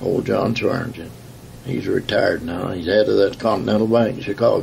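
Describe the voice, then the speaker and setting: A fairly quick-paced man with an American accent, noticeable background noise behind him. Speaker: retired union leader. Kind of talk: oral history interview. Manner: halting.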